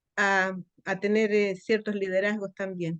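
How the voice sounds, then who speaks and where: A woman talks at a fairly slow pace. The sound is dry and close, with no echo. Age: 60s. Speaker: church training participant, retired teacher. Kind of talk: reading aloud own homework, then casual remarks. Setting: church classroom.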